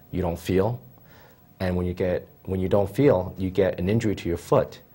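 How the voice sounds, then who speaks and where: With an American accent, a man talks at a moderate pace in a fairly low, somewhat breathy voice of dark, mellow tone. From Philadelphia, Pennsylvania; Pennsylvania. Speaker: podiatrist; guest. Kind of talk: TV interview. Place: studio. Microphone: lapel.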